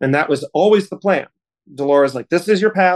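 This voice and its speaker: In an ordinary speaking voice, a man talks at a fairly quick pace with ordinary pitch variation, the sound dry and close with no echo. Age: 30s. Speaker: opera singer. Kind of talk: interview.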